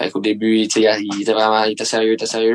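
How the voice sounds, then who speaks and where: A man at medium pitch is heard in a dry, close sound with no echo. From Quebec, Mercier. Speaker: professional hockey player. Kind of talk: casual chat.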